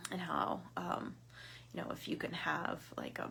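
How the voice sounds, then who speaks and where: Whispering in an American accent, a woman speaks at a fairly slow pace with audible room echo. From southern Ohio. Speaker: women's group leader. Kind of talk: casual Facebook live talk. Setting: Facebook live video. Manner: rambling, many fillers.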